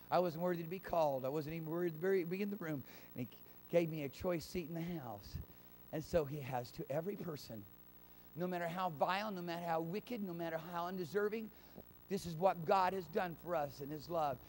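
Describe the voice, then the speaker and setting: High-pitched man's voice, animated in tone, with ordinary pitch variation, a fairly quick pace and light background noise. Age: 50s. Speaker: pastor. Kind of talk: sermon. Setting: church. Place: church. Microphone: handheld.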